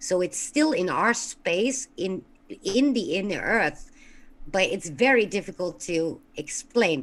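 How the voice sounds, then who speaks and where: With a non-native accent, a woman speaks very slowly, her pitch swinging very widely. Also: medium pitch for a woman. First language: not English. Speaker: caller. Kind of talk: call-in show discussion.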